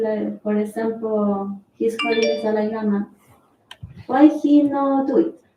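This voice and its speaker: Very slow pace and fairly even intonation. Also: woman. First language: not English. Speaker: student asking a question. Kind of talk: question from audience. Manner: halting.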